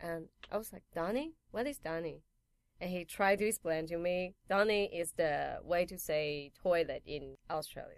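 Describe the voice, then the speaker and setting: With a Chinese accent, a woman talks at a moderate pace in a fairly low voice, her pitch varying in an ordinary way while her loudness swings widely. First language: Mandarin Chinese. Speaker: piercer and painter. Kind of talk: casual interview. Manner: hesitant, many fillers.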